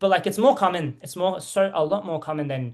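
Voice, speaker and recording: In an Australian accent, a woman speaks with a fairly low pitch. Her intonation is lively. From Australia, Melbourne. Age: 20s. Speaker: reality TV contestant. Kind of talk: interview. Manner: halting.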